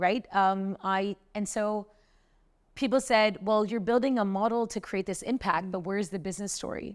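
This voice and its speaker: A woman with a medium pitch and an American accent speaks at a moderate pace in an animated tone on a very clean recording with a silent background. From US, New York. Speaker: social entrepreneur, company founder. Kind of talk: interview conversation.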